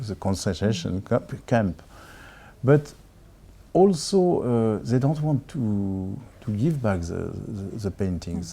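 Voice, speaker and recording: The voice has a French accent and a dark, mellow tone. It moves at a very slow pace with very wide pitch swings. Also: man, fairly low pitch for a man. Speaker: film director. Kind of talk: interview. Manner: halting, with many repetitions.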